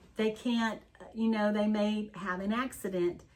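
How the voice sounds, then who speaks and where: A woman with a fairly high pitch talks at a fairly slow pace. Hers is a plain, everyday voice. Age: 60s. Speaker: wellness tea business owner and channel co-host. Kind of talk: casual chat.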